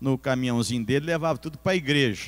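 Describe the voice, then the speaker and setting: Man with an unremarkable speaking voice, fairly high pitch and lively intonation, in a dry, close sound with no echo. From Bauru, São Paulo state, Brazil. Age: 60s. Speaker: pastor. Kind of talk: sermon.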